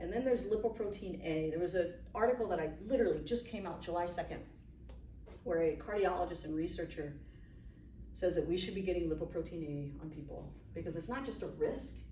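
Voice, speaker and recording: A woman talking at a very fast pace, with big swings in loudness and audible room echo. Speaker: physician giving a health talk. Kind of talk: lecture to a live audience.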